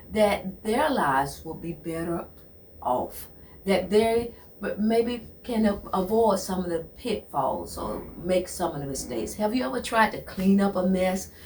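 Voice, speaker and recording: Amid noticeable background noise, a woman at a medium pitch talks at a fairly slow pace with lively intonation. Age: 60s. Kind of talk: motivational talk. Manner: repetitive, halting; animated.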